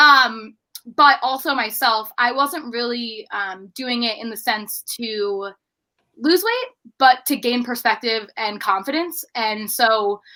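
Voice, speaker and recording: With an American accent, a woman speaks at a very slow pace in a high, bright, sharp voice. Her pitch variation is ordinary. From US, Baltimore, Maryland. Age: 20s. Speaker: podcast producer and outreach program head. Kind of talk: interview conversation.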